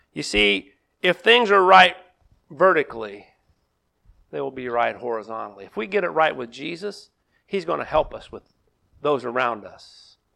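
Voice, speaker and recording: A bright, sharp tone with vocal fry, a moderate pace, long and frequent pauses, big swings in loudness and very wide pitch swings. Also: man, medium pitch for a man. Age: 50s. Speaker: pastor. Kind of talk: sermon. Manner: halting.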